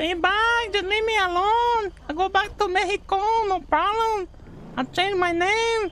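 A put-on character voice at an extremely high pitch, with clear background noise. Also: moderate pace.

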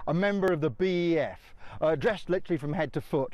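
A man with a British accent sounds confident, his pitch high. The background is quiet and the sound is dry with no echo. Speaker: military historian. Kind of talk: guided tour explanation. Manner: informative, fluent, confident; explanatory, instructive. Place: open country. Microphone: lapel.

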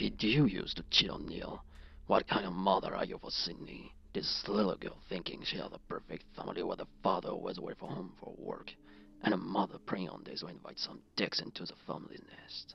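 A man speaks at a fairly quick pace and fairly low pitch, with big swings in loudness. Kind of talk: horror film acting. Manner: menacing, mocking.

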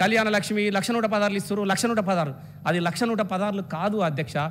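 This man's voice is high in pitch with ordinary pitch variation. Light background noise sits behind it. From Telangana, India. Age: 50s. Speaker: state legislator. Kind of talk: legislative assembly speech. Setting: state legislative assembly. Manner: impassioned oratory. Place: hall. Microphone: podium.

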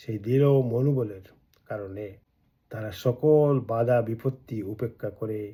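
This man's intonation is fairly even. His voice has a dark, mellow tone with some breathiness. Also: medium pitch for a man. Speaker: political activist and video blogger. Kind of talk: political speech to camera. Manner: emphatic, rhetorical.

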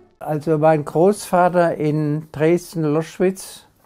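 Against a quiet background, a man speaks at a very slow pace. His intonation is fairly even. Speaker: contemporary witness. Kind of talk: interview answer. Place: home room.

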